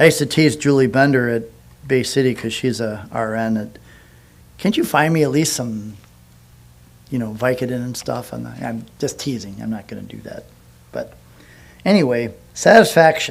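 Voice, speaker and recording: Pausing long and often, a man speaks at a moderate pace and medium pitch with ordinary pitch variation, big swings in loudness and audible room echo. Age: 60s. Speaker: pastor. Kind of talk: sermon. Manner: halting.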